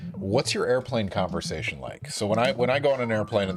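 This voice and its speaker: A man talking very fast over background music, with ordinary pitch variation. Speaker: chemistry professor. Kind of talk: casual chat.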